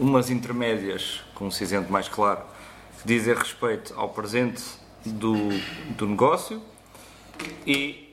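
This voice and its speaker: Noticeable noise hums in the background. The man keeps his intonation fairly even. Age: 30s. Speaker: podcast host, graphic and web designer. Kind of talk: casual show introduction.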